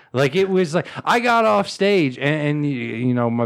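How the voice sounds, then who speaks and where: A man speaks with an American accent at a moderate pace. His pitch swings very widely. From upstate New York, Southern Tier. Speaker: comedian and podcaster. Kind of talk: casual chat. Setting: home studio. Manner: halting.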